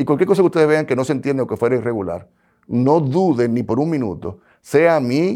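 Here a man speaks fairly quickly with lively intonation. His tone is dark and mellow. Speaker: bank regulator. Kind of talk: interview.

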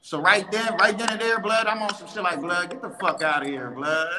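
A man with an American accent speaks in a raised, projected voice at a moderate pace with lively intonation. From New York, Bronx. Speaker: gang member guest. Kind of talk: casual panel discussion.

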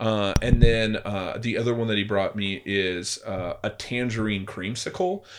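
Using an ordinary speaking voice with an American accent, a man talks at a fairly slow pace with hardly any pauses, his fairly low pitch held in fairly even intonation. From California. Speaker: podcast co-host, supplement store owner. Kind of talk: casual chat.

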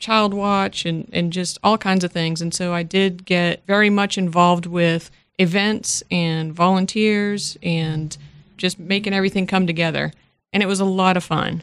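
A woman with a plain, everyday voice and an American accent talks at a moderate pace and medium pitch, with fairly even intonation. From Massachusetts, Worcester area. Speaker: radio station staff member. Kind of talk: interview, casual chat.

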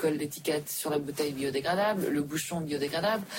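The speaker talks at a fairly quick pace with ordinary pitch variation. There is noticeable background noise. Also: woman. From Switzerland. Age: 40s. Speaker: entrepreneur. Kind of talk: interview. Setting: back room of a restaurant.

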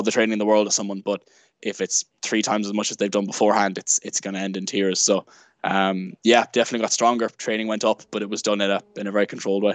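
A man with an Irish accent speaks at a very fast pace with a fairly low pitch and monotone, flat intonation, in a dry, close sound with no echo and a quiet background. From Ireland, Sligo. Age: 20s. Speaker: athlete. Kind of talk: casual chat.

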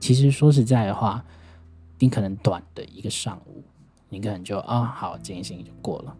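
The talking proceeds at a moderate tempo while music sounds behind it. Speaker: podcast host. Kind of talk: monologue podcast. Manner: halting, many fillers.

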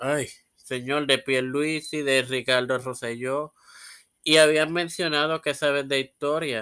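At a very slow pace, a man talks with a fairly high pitch and fairly even intonation. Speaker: podcast host. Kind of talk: casual interview.

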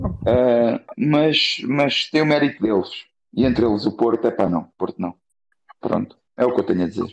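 At a moderate pace, a man speaks with lively intonation and a medium pitch. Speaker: football commentator. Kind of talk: heated football discussion. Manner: animated.

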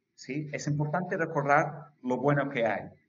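Somewhat breathy, a man talks in a fairly high voice with ordinary pitch variation. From England, London. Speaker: musician and author. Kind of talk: interview. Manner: halting.

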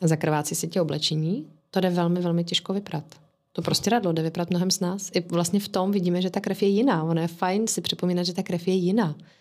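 A woman's very fast speech at a fairly low pitch, with fairly even intonation. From England. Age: 30s. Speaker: podcast guest, mother of three. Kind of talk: casual chat.

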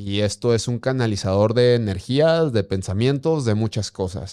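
A man with an unremarkable speaking voice talks at a moderate pace and medium pitch, using lively intonation. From Durango, northern Mexico. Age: 30s. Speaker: blind mountaineer and ultramarathon runner. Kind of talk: interview testimony.

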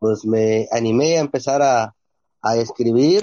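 A man talks at a very slow pace. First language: Ombeayiüts (Ikoots) (speaking Spanish). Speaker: teacher and writer. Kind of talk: interview.

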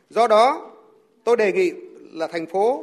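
A man speaks at a moderate pace. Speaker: national assembly deputy. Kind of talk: formal speech.

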